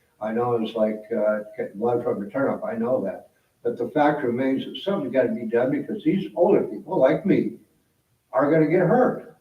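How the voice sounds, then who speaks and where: A man's somewhat breathy, fairly high voice at a moderate pace, with very wide pitch swings and audible room echo. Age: 70s. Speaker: resident speaking at council meeting. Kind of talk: public comment at city council meeting. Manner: halting, repetitive.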